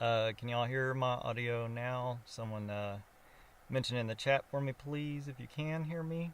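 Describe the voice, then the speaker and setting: Speaking at a moderate pace, a man with a medium pitch and ordinary pitch variation comes through in a very clean recording against a silent background. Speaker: live streamer. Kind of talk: live stream commentary. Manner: hesitant, many fillers.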